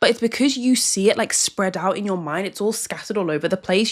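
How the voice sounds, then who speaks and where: A woman speaks at a very fast pace. Background noise is noticeable. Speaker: self-help youtuber. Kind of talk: casual talking-head advice video. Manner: chatty, filler-heavy.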